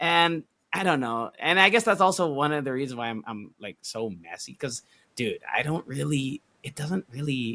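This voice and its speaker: At a moderate pace, a man with a medium-pitched voice and a bright, sharp tone speaks with lively intonation and big swings in loudness, in a dry, close sound with no echo. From United States (Filipino American). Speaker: podcast co-host and event host. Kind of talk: casual chat. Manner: casual, mixes English and Tagalog; halting, many fillers.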